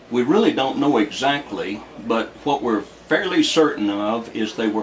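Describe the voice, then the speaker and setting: Speaking at a moderate pace with a Southern US accent, a man uses lively intonation against noticeable background noise. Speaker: retired army aviator, local history source. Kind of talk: interview. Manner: halting, many filler words.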